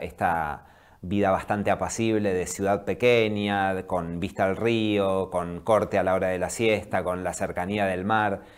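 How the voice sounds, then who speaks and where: Against a quiet background, a man talks at a fairly low pitch with monotone, flat intonation. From Viedma, Patagonia, Argentina; Argentina. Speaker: documentary film director; guest. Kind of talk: interview. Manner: halting. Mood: calm, thoughtful. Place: studio. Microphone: lapel.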